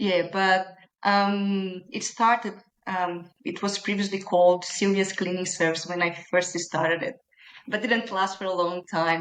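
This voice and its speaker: A woman talks with a Brazilian Portuguese accent. Her pace is moderate. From Brazil, Minas Gerais. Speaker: small business owner. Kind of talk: podcast interview.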